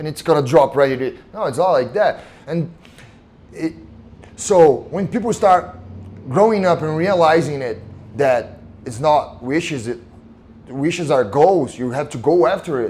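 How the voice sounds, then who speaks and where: Speaking with a Brazilian Portuguese accent, the voice moves fairly slowly with lively intonation and long, frequent pauses. Background noise is noticeable. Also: man, fairly high pitch for a man. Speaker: mixed martial arts fighter. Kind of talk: casual interview chat. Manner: halting, repeats words.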